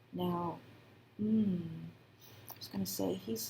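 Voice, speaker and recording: Soft-spoken, a woman talks at a very slow pace in a fairly low pitch with very wide pitch swings. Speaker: tarot reader. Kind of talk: soft spoken tarot reading.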